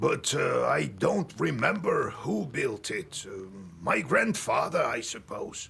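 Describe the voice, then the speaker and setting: The voice is a raspy, put-on character voice. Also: man, fairly slow pace. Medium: video game. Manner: gruff, matter-of-fact.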